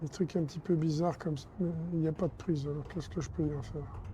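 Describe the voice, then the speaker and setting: A woman with a very deep, low pitch talks at a fairly quick pace, using ordinary pitch variation. Her tone is dark and mellow and somewhat breathy. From France. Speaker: video game walkthrough creator. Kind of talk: game walkthrough commentary. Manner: casual, explanatory.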